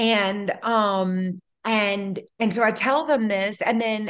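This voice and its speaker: A woman with a Louisiana accent speaks at a fairly high pitch against a quiet background. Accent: Louisiana Southern US. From North Louisiana, raised in Baton Rouge. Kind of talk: casual chat. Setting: video call.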